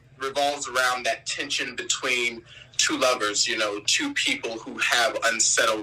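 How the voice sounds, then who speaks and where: A man is talking. Background noise can be clearly heard. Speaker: R&B singer. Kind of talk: interview.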